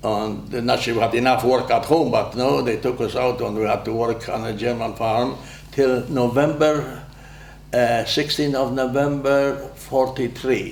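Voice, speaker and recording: A man with a Polish accent speaks at a moderate pace and medium pitch, his intonation fairly even. Audible room echo and noticeable background noise come through. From Poland. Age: 90s. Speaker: war veteran. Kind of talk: oral history interview.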